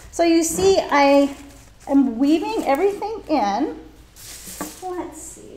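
A woman with an American accent speaks at a very slow pace, with long, frequent pauses, big swings in loudness and lively intonation. Her pitch is extremely high, and there is audible room echo and light background noise. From Orange County, California; California. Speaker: floral design teacher. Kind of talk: live tutorial. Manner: animated. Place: studio.

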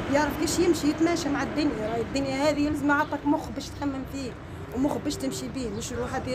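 A woman's voice is high in pitch, with fairly even intonation. She moves at a fairly quick pace amid noticeable background noise. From Tunisia. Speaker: potter; stall seller. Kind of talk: interview. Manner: halting. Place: street.

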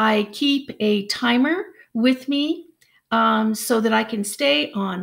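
A woman with an American accent and fairly high pitch speaks at a very slow pace against a quiet background. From United States. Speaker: English language teacher. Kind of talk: job introduction video to camera. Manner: hesitant, many fillers. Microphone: webcam.

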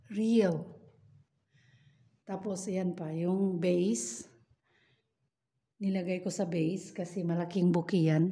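Very slow and somewhat breathy, a woman's voice has a dark, mellow tone. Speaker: household worker vlogger. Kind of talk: casual vlog chat. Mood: happy, proud. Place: home room. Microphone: phone near.

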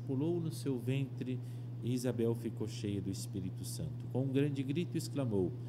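With noticeable background noise behind him, a man talks at a moderate pace with fairly even intonation. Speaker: priest. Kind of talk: scripture reading. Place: studio. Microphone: podium.

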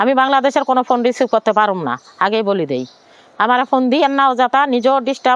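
Dry and close with no echo, a woman's high-pitched voice shows ordinary pitch variation. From Bangladesh, Noakhali (Sonaimuri). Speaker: widow, former migrant domestic worker. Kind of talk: personal testimony interview.

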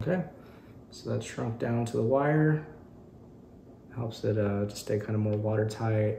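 With faint music behind him, a man speaks in a fairly low, dark, mellow voice with vocal fry and little pitch movement. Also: fairly slow pace.

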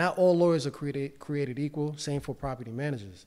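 A man's fairly high voice moves with ordinary pitch variation. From New York City (Bronx). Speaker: real estate investor and financial literacy educator. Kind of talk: casual chat. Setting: studio. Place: studio. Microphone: studio mic.

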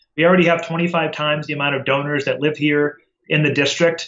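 Over a quiet background, a man with an American accent speaks at a fairly high pitch in a monotone, flat intonation. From Massachusetts (Holyoke); Massachusetts. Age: 30s. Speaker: politician. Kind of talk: interview. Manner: fast. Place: home room. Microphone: webcam.

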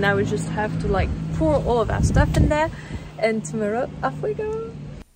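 Clear music plays in the background as a woman talks at a moderate pace, the sound dry with no echo. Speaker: travel vlogger. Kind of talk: casual vlog chat. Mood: cheerful, excited. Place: street. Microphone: phone near.

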